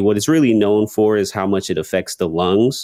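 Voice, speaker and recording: In an ordinary speaking voice, a man with an American accent talks at a moderate pace, his pitch fairly low with ordinary variation. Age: 20s. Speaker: rapper and content creator. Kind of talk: interview.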